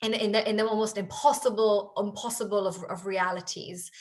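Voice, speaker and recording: Speaking with an Israeli accent, a woman keeps a moderate pace and medium pitch, her intonation fairly even. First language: Hebrew. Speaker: author and company culture leader. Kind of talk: interview Q&A. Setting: pre-recorded virtual festival session. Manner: halting, with many repetitions and fillers.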